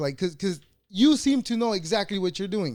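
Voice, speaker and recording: A man's high-pitched voice with lively intonation. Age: 30s. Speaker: podcast host. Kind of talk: interview. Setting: video call.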